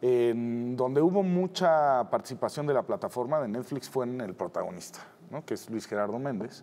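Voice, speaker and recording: The voice has a dark, mellow tone and lively intonation at a moderate pace. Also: man. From Mexico City. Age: 50s. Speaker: TV producer. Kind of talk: interview. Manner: hesitant, many fillers. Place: studio. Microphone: lapel.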